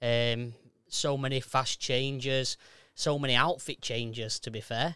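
On a very clean recording with a silent background, a man with a Yorkshire accent speaks at a fairly slow pace in a medium pitch and a flat monotone. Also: dry, close sound with no echo. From South Yorkshire, Sheffield area. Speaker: amateur theatre performer. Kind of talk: casual chat.

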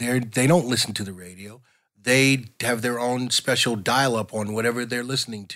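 Moving at a moderate pace with fairly even intonation, a man speaks at a medium pitch in a plain, everyday voice, captured in a very clean recording with a silent background. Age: 50s. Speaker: music producer and film composer. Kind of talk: casual chat. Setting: studio.

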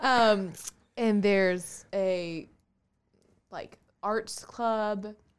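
Speaking very slowly in an American accent, a woman with a medium pitch leaves long, frequent pauses. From US South, Augusta, Georgia. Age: 20s. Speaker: real estate agent. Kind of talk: interview. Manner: animated.

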